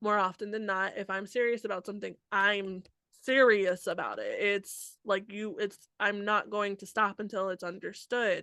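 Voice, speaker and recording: Against a quiet background, a woman speaks at a moderate pace in a bright, sharp tone of medium pitch with fairly even intonation. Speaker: podcast co-host. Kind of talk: casual podcast discussion.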